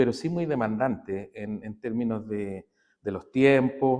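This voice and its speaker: Lively intonation runs through this man's speech. He takes a fairly slow pace. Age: 60s. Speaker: physiotherapy professor and aikido practitioner. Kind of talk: interview conversation. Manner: halting, many fillers.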